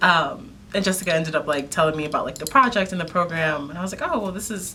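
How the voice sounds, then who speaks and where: A woman's fairly low voice with audible room echo. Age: 20s. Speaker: visual artist. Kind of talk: interview.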